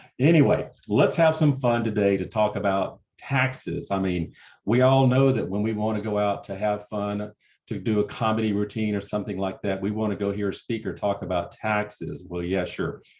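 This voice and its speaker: Against a quiet background, a man speaks with a Southern US accent. His pitch sits fairly low and varies in an ordinary way. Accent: Southern drawl. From US South, Alabama. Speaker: certified exit planner, tax presenter. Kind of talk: webinar presentation. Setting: webinar, online. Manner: casual, joking.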